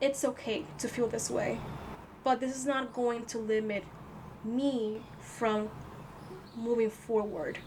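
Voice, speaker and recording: There is noticeable background noise as a woman with a non-native accent speaks at a high pitch. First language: not English. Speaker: tarot reader. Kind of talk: tarot reading. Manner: halting, repeats words; casual.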